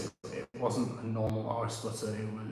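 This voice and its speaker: Noticeable background noise and audible room echo surround this man's voice. He talks at a fairly quick pace with a medium pitch and monotone, flat intonation. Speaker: fragrance reviewer and perfumer. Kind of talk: live stream chat. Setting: live stream. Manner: hesitant, many fillers.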